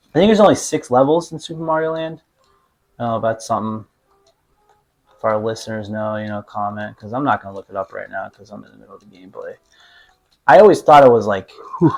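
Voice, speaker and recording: A man with an American accent at medium pitch, very fast pace, lively intonation, big swings in loudness and long, frequent pauses. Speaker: podcast co-host, hockey coach. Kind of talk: casual chat while playing games.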